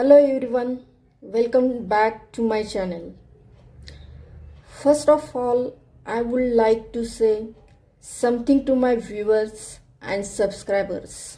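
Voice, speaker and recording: Woman with a non-native accent, fairly high pitch and a dark, mellow tone, at a very slow pace with long, frequent pauses and fairly even intonation. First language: not English. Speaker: art tutorial creator. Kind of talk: tutorial narration.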